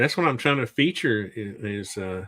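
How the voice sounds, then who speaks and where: A man speaks at a moderate pace with a fairly low pitch in an unremarkable speaking voice. The recording is very clean, with a silent background. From US Southwest, Arizona. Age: 60s. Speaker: podcast host. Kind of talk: casual chat.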